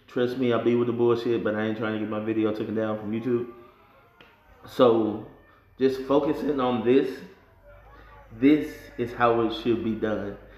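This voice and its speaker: With audible room echo, a man speaks in a flat monotone at medium pitch and a moderate pace, leaving long, frequent pauses. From Atlanta. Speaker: rapper and video reviewer; video reviewer. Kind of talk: casual vlog commentary. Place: home room. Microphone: phone near.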